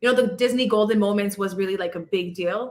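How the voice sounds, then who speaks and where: The woman talks at a medium pitch with ordinary pitch variation. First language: not English. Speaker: live stream host interviewing creators. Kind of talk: casual chat. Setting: live stream.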